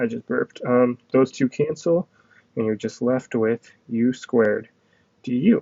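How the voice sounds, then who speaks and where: A man's voice at a medium pitch. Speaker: math tutor. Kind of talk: tutorial. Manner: fast; casual.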